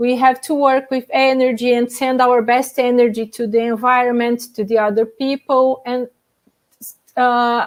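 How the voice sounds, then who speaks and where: Speaking with a non-native accent, a woman talks at a high pitch in a monotone, flat intonation. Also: moderate pace. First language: not English. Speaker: panelist on out-of-body experiences. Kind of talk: panel discussion. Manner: halting.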